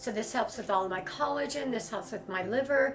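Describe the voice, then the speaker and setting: A woman with a fairly high pitch and ordinary pitch variation is heard with audible room echo and noticeable background noise. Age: 60s. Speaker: wellness and beauty content creator. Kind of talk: voiceover tutorial.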